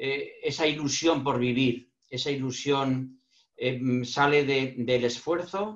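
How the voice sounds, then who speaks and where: A fairly high-pitched man's voice, very slow, with ordinary pitch variation. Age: 60s. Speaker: lecturer on emotional intelligence. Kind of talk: online panel talk.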